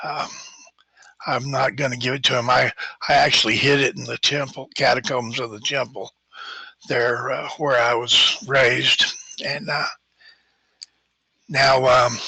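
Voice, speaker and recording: A raspy put-on character voice from a man at medium pitch, moderate pace, with long, frequent pauses. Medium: actual play. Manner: hesitant, halting, many fillers.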